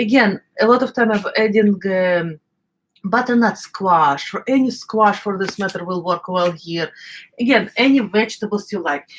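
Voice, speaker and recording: Speaking with an Eastern European accent, a woman talks at a moderate pace in a medium pitch with ordinary pitch variation. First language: non-native English. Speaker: cooking channel host. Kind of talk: live cooking stream. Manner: halting, many fillers.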